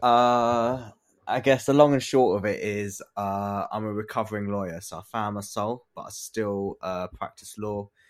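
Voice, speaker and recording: In a London accent, the speaker goes at a fairly slow pace with fairly even intonation, hardly any pauses and big swings in loudness, on a very clean recording with a silent background. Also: man. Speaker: lawyer and diversity advocate, fund co-founder. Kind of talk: podcast interview. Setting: studio.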